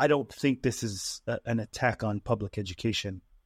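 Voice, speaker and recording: Captured on a very clean recording with a silent background, a man with a normal speaking voice and medium pitch talks at a moderate pace with ordinary pitch variation. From Utah, US; Tongan immigrant parents. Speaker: tech worker, real estate investor, political candidate. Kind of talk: interview conversation.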